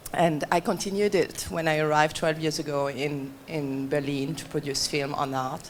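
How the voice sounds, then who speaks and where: With a French accent, a woman speaks at a moderate pace in a very deep, low pitch and fairly even intonation over noticeable background noise. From France. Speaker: gallery owner. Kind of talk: panel discussion. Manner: halting.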